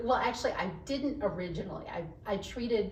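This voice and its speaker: Audible room echo surrounds a woman speaking in an animated tone with ordinary pitch variation. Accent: American. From Texas (Dallas area). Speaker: HR professional. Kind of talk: podcast interview.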